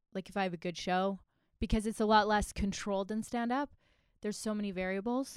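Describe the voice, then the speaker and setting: In a very clean recording with a silent background, a woman with a medium-pitched voice speaks in an animated tone at a very fast pace. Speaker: podcast co-host. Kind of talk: casual chat. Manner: animated, joking.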